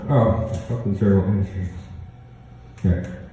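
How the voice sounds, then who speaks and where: A man is talking. Noticeable background noise fills the recording. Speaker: spoken word poet. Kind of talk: casual talk to live audience.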